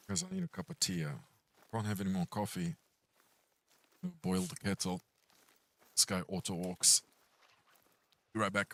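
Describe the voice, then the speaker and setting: A man's very deep, low voice at a moderate pace, with ordinary pitch variation, long, frequent pauses and a dry, close sound with no echo. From South Africa, Pretoria. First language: Romanian. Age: 40s. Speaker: gaming streamer. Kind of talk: casual chat. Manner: casual, chatty.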